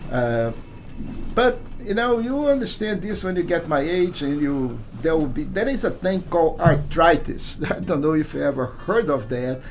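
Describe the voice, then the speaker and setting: A man at a fairly high pitch with very wide pitch swings and a moderate pace, audible room echo, and music in the background. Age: 60s. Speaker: gaming streamer. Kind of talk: live gameplay commentary. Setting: live stream. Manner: halting.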